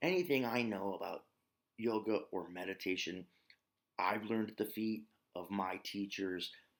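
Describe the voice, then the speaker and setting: A man talks with an Ozark accent. His pace is fairly slow and his intonation fairly even. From US, Ozarks. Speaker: yoga and meditation teacher. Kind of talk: spiritual teaching talk. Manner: casual with filler words.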